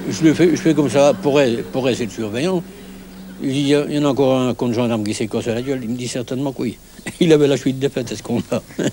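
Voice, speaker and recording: Talking at a very fast pace, a man with a Norman accent has a medium pitch. Noticeable background noise is present. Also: ordinary pitch variation. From Normandy, France. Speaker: village bonesetter. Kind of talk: interview. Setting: outdoors at a bus shelter. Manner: halting, repeats words.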